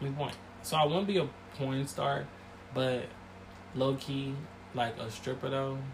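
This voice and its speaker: Speaking with an American accent, a man at medium pitch keeps a fairly slow pace with long, frequent pauses. His intonation stays fairly even. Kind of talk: casual chat.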